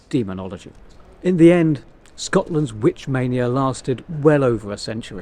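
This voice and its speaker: With music in the background, a man speaks at a moderate pace using lively intonation. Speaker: storyteller, tour guide. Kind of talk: history storytelling to camera.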